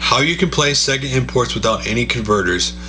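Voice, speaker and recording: A man talking at a fairly quick pace, with music in the background and audible room echo. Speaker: gaming YouTuber doing channel shoutouts. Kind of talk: casual video roundup and channel recommendations. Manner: fast.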